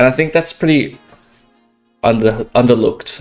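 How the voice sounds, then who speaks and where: At a moderate pace, a man speaks in an Australian accent. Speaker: professional esports player and coach. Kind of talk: tutorial. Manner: casual, hesitant with many fillers.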